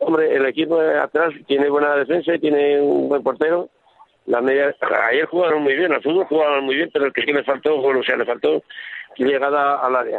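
A man talks at a fairly quick pace in a monotone, flat intonation, his pitch fairly high for a man and his loudness very even. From Aragon, Spain (Villanueva de Gállego). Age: 70s. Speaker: retired footballer. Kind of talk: radio interview.

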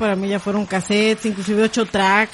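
A woman talks while noticeable noise sounds in the background. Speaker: podcast host. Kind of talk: casual chat. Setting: live stream.

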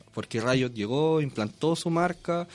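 A man with an unremarkable speaking voice, fairly high in pitch, with ordinary pitch variation at a moderate pace. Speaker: esports community representative. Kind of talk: casual interview.

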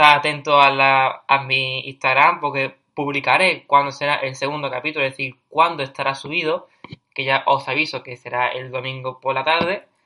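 A man with an Andalusian accent speaks at a moderate pace and a fairly high pitch. His tone is bright and sharp, his intonation monotone and flat. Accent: Andalusian Spanish (Cádiz). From Cádiz, Andalusia, southern Spain. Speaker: podcast host, university student. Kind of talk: casual monologue on personal development.

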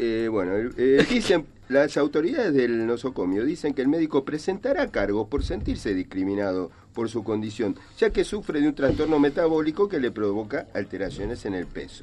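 The pace is moderate. Pitch swings very widely throughout. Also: man, medium pitch for a man. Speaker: radio comedy panelist. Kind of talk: joke telling on radio.

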